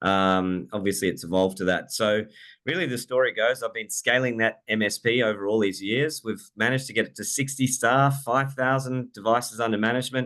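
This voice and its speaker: A medium-pitched man with an Australian accent, fairly quick and with hardly any pauses, ordinary pitch variation, against a quiet background. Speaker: software company CEO and IT business owner. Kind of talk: casual chat; product demo presentation.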